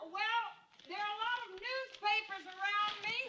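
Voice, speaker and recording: At a moderate pace, a put-on character voice keeps a fairly even intonation. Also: woman, extremely high pitch for a woman. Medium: short film. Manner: plaintive, bewildered.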